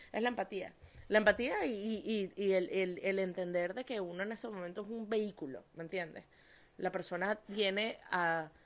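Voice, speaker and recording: A woman with a medium pitch and an animated tone speaks with ordinary pitch variation on a very clean recording against a silent background. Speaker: podcast host and life coach. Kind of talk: casual chat.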